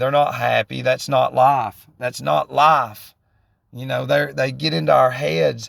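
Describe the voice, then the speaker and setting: A Southern US accent at a moderate pace, in a dry, close sound with no echo and a very clean recording over a silent background. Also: man. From US South, northwest Georgia. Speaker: vlogger in addiction recovery. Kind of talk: casual monologue. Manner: rambling, halting with repetitions.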